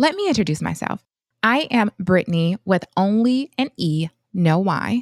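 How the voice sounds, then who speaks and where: A woman with an American accent uses a normal speaking voice at a medium pitch. Her intonation is lively, and the sound is dry and close with no echo. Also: fairly slow pace. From US Midwest, Flint, Michigan. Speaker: physician and finance podcast co-host. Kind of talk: casual chat.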